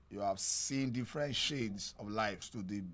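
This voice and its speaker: Recorded very cleanly against a silent background, a man speaks at a medium pitch and a fairly slow pace. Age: 50s. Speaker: podcast interviewer. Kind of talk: interview. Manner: halting.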